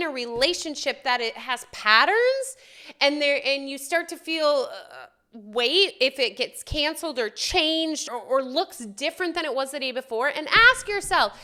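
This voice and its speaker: A woman speaks at a fairly slow pace in a raised, projected voice with a high pitch and a bright, sharp tone. Her delivery is passionate, with lively intonation and big swings in loudness. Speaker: spiritual self-help video host. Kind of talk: solo spiritual talk to camera. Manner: loud, passionate; conversational, with fillers.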